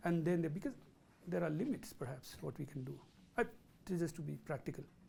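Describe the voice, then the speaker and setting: Speaking fairly quickly in a South Asian accent, a man with a fairly high pitch, a dark, mellow tone and vocal fry uses lively intonation. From India. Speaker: professor. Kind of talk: lecture Q&A. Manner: halting.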